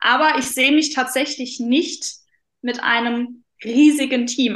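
With a high pitch, a woman keeps her intonation fairly even. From Saarland, Germany. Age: 20s. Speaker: mindset coach. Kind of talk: interview.

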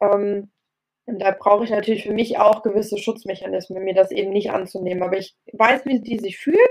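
A woman talks at a moderate pace. Hers is a plain, everyday voice. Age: 30s. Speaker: personal trainer. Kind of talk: interview. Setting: video call. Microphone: poorer audio over video call.

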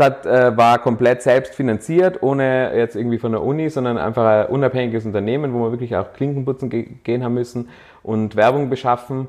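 This man's voice sits at a medium pitch. He talks at a fairly quick pace with fairly even intonation. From Austria, Tyrol (Innsbruck). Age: 30s. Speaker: startup founder. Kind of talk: interview. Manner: hesitant, many filler sounds.

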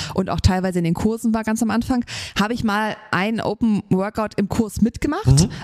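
Over noticeable background noise, a woman talks at a fairly quick pace with a fairly high pitch and ordinary pitch variation, the sound dry and close with no echo. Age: 30s. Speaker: CrossFit gym owner and coach, podcast co-host. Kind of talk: casual chat.

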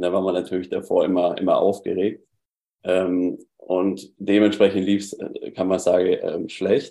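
A man speaks with a southern German accent. His pace is fairly slow. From southern Germany. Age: 20s. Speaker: former coaching client. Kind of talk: casual interview chat.

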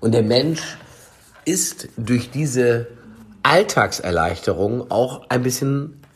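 A man talks at a medium pitch with ordinary pitch variation. Vocal fry runs through his voice. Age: 40s. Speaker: chef and food product developer. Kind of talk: casual chat.

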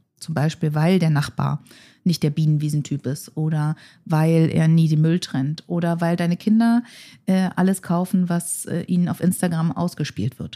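A woman's fairly low, dark and mellow voice with ordinary pitch variation, dry and close with no echo. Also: moderate pace. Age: 40s. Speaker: futurist. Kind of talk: conversational interview.

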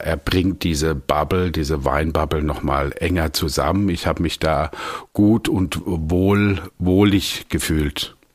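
A man with a very deep, low pitch and vocal fry, very even loudness, fairly even intonation and a very slow pace. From Germany, Palatinate (Landau). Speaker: wine merchant and sommelier. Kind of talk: casual interview conversation.

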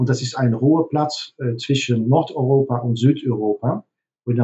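At a moderate pace, a man with a Dutch accent speaks at a medium pitch in a somewhat breathy voice. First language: Dutch (speaking German). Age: 50s. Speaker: hotelier. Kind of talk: interview. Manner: halting, many fillers.

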